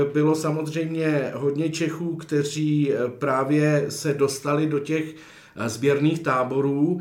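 Over noticeable background noise and audible room echo, a man talks very slowly in a fairly high, monotone voice with flat intonation and very even loudness. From Chodsko region, western Bohemia. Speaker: documentary filmmaker. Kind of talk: interview. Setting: cinema hall.

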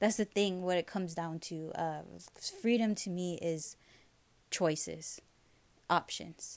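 A fairly low-pitched woman's voice with a Hawaiian accent, fairly slow and fairly even, with long, frequent pauses. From Hawaii, O'ahu (Kaneohe, Honolulu). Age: 30s. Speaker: digital marketing entrepreneur. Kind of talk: interview.

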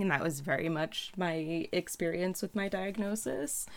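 Fairly even intonation and a fairly low pitch from a woman in a normal speaking voice. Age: young. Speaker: podcast co-host. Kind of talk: casual chat. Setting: remote call.

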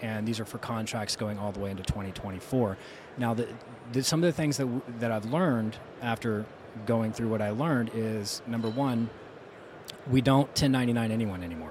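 This man's pitch moves in an ordinary way. Noticeable noise can be heard in the background. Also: medium pitch for a man, moderate pace. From South Louisiana. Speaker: roofing contractor. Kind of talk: casual interview.

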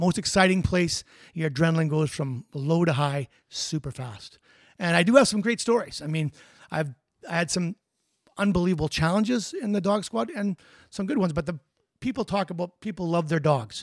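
A man's high-pitched voice with a Canadian accent, fairly quick pace, long and frequent pauses, dry close sound with no echo, and a very clean recording with a silent background. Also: lively intonation. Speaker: retired police officer. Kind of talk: interview. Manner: fast talker.

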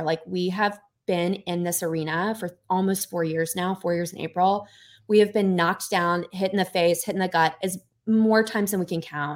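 A woman's medium-pitched voice with an American accent, fairly even intonation and a moderate pace, on a very clean recording with a silent background. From US South. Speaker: podcast co-host and company co-founder. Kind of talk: casual chat.

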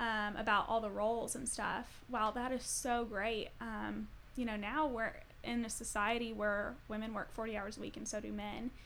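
A woman's fairly high voice in an American accent, monotone and flat, at a moderate pace with audible room echo. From Colorado. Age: 20s. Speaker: social work graduate student. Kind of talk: casual chat.

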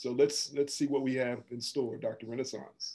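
The man has a dark, mellow tone and an American accent. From Washington, D.C. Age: 50s. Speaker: psychologist and professor. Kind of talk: panel discussion.

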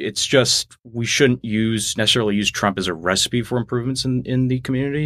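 Over a very clean recording with a silent background and a dry, close sound with no echo, a man with an American accent speaks in an unremarkable speaking voice at medium pitch with ordinary pitch variation. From New Jersey. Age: 20s. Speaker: college student. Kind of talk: casual political discussion. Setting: studio on campus.

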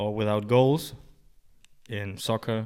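A man's fairly slow, medium-pitched speech with a German accent, on a very clean recording with a silent background. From Germany. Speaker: personal trainer and rehab coach. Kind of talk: casual interview. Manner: halting, many fillers.

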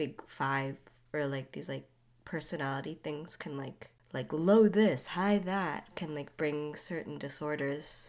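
A woman's very deep, low pitch at a fairly slow pace, with ordinary pitch variation. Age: 20s. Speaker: podcast guest. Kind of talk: casual chat.

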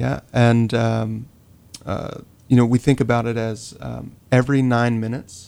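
The speaker is a man with a Southern US accent. His pitch is medium. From North Carolina (Rocky Mount). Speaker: social worker. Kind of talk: radio interview.

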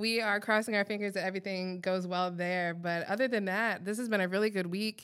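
A woman's medium-pitched voice with a Midwestern accent, fairly quick and nearly pause-free, flat and monotone, on a very clean recording with a silent background. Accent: general Midwestern American. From Iowa. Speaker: podcast co-host. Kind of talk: casual chat.

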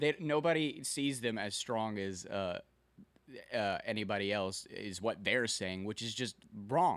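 A man's unremarkable speaking voice, medium-pitched, fairly slow and with lively intonation, on a very clean recording with a silent background. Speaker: podcast co-host. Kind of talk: casual chat. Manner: relaxed, conversational, joking.

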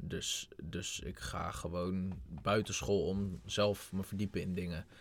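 Very deep and low, a man's voice moves at a very slow pace with vocal fry and ordinary pitch variation. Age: 20s. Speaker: young entrepreneur. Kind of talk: casual chat.

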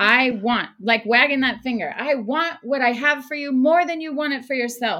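A woman with an American accent talks in a raised, projected voice with hardly any pauses. Her pitch is high and her tone bright and sharp. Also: ordinary pitch variation, moderate pace. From Oklahoma. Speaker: ministry worker. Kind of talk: testimony.

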